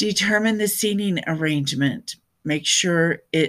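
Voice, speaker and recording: Over a silent background in a very clean recording, a woman speaks at a fairly slow pace in an animated, upbeat tone with ordinary pitch variation. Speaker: podcast host and speaker trainer. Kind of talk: solo podcast monologue.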